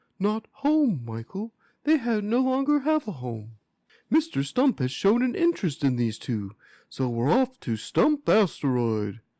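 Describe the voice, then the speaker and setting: A man does a put-on character voice pitched high, captured in a very clean recording with a silent background. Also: moderate pace. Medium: read story. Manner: formal, courteous.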